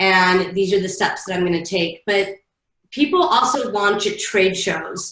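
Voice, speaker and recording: A woman with a normal speaking voice, medium pitch and a fairly slow pace. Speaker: marketing consultant. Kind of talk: webinar presentation. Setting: online webinar.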